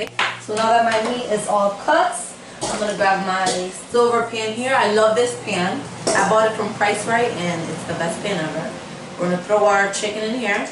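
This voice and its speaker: Speaking at a moderate pace with ordinary pitch variation, a woman is heard over noticeable background noise and audible room echo. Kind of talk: casual cooking tutorial. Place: kitchen. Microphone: camera far.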